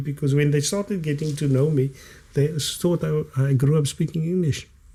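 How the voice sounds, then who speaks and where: The man's voice is fairly high and somewhat breathy. Its tone is dark and mellow. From South Africa, Cape Town area (Elsies River). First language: Kaaps (Cape Afrikaans). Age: 50s. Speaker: author and former detective, liberation struggle veteran. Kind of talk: podcast interview.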